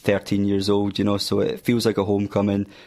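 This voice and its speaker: A man with a Scottish accent at a fairly quick pace and fairly low pitch, in a very clean recording with a silent background. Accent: Scottish (Fife). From Scotland, Fife (Glenrothes). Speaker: guitarist in an unsigned band. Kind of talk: radio interview. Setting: radio studio.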